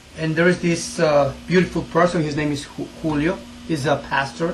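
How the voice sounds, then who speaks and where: Noticeable background noise sits behind this voice. A man talks at a moderate pace in a fairly high pitch with ordinary pitch variation. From Ecuador. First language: Spanish. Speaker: English teacher for immigrants. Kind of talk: interview testimony.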